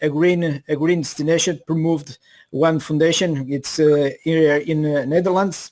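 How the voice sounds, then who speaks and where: A man's fairly high voice in a Portuguese accent, monotone and flat in intonation. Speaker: local tourism official. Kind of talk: panel discussion. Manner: halting.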